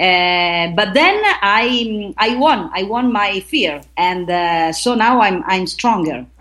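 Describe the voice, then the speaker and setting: A woman talks at a very slow pace with hardly any pauses. Her intonation is lively. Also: medium pitch for a woman. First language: Italian. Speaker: actress and aerial artist. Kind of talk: interview. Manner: halting.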